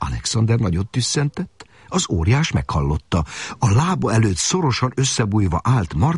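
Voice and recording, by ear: The clip captures reading aloud in a natural voice.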